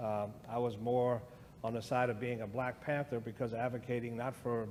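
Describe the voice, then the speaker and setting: A man with an American accent speaks at a moderate pace in a flat monotone, his voice medium in pitch, with audible room echo. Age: 60s. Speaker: guest speaker on race. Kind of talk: conversation in church service.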